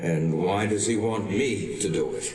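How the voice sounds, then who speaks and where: A put-on character voice at a moderate pace, with slight echo. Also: man. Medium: machinima.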